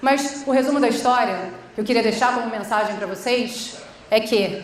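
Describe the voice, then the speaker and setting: In a Rio de Janeiro accent, a high-pitched woman talks at a fairly quick pace in an animated tone, with audible room echo and noticeable background noise. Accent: carioca. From Rio de Janeiro, Brazil (Baixada Fluminense). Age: 40s. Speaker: social entrepreneur, conference speaker. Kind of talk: conference talk. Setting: stage with audience. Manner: informal, animated.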